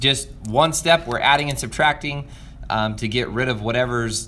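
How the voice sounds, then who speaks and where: Audible room echo surrounds a man speaking at a fairly quick pace. His pitch is medium, with ordinary variation. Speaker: math teacher. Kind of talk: video lesson for students. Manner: fast; hesitant fillers.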